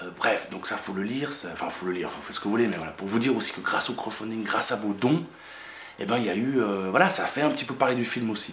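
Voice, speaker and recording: Over noticeable background noise, a man of medium pitch speaks at a very fast pace with lively intonation. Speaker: independent filmmaker. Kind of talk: casual video message to supporters. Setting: at home in apartment. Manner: soft-spoken; halting, many fillers.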